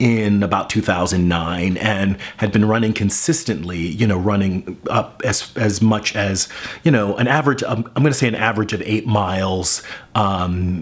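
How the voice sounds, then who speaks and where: Medium-tempo male speech, fairly low in pitch, with pitch moving in an ordinary way. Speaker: vlogger, teacher. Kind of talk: casual vlog chat. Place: kitchen. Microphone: camera far.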